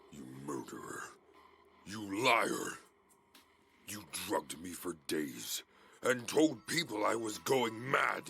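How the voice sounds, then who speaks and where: A man in a raspy, put-on character voice at medium pitch, fairly slow, with long, frequent pauses. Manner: accusing.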